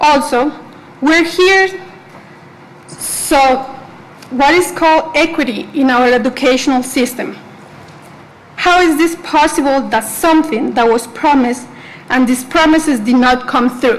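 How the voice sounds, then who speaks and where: A woman with a Spanish accent speaks at a fairly slow pace in a high voice, with long, frequent pauses, ordinary pitch variation and very even loudness, over noticeable background noise. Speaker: student, public commenter. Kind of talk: public comment at board meeting. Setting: school board meeting.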